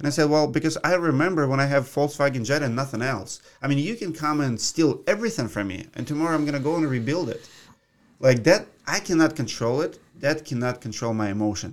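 In a Russian accent, a man talks at a very fast pace with lively intonation and a fairly high pitch, on a very clean recording with a silent background. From Russia (Siberia). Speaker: roofing contractor and YouTuber. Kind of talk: interview. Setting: studio.

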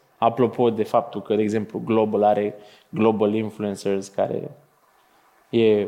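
Speaking at a fairly slow pace, the man keeps his intonation monotone and flat. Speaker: podcast host. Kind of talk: live interview on stage. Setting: stage with audience.

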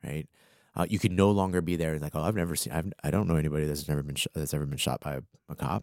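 A man with an American accent talks at a very fast pace in a very deep, low pitch, with vocal fry. His pitch variation is ordinary, and the sound is dry and close with no echo. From Arlington, Virginia (DC area). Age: 30s. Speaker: freelance marketing strategist. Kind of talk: casual interview chat. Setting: studio.

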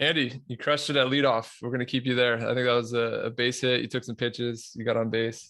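A man's ordinary speaking voice at medium pitch and a fairly quick pace, over a quiet background. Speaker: podcast host. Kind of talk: moderated panel discussion.

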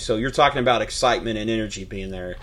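A man's voice over noticeable background noise. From Louisville, Kentucky (South End). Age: 30s. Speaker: sports podcast host. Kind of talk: casual sports talk.

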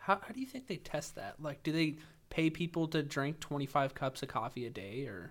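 A man with a fairly high voice and vocal fry speaks fairly quickly, his lively intonation paired with big swings in loudness. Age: 20s. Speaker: podcast host and army veteran. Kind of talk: casual chat. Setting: makeshift home studio.

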